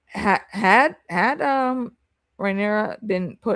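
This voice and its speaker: An animated woman with vocal fry and lively intonation comes through in a very clean recording with a silent background and a dry, close sound with no echo. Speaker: live reaction streamer. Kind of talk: casual reaction chat.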